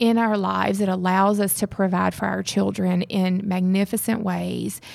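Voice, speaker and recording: A woman with a Southern US accent in a very clean recording with a silent background. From Mississippi. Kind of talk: casual chat.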